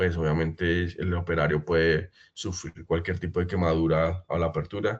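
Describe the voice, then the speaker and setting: The man's pitch is very deep and low, and his voice is somewhat breathy with fairly even intonation. The background is quiet. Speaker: pump brand representative. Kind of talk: webinar presentation. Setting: online webinar. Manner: fast.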